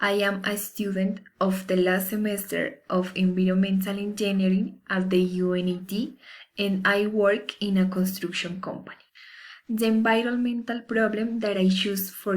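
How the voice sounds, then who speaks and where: A woman's somewhat breathy, medium-pitched voice with fairly even intonation at a moderate pace. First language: Spanish. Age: 20s. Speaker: university student. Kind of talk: class assignment presentation. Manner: formal.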